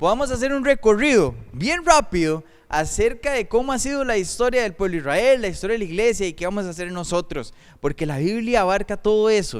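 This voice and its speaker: A man speaks with a high voice whose pitch swings very widely. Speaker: pastor. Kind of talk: sermon.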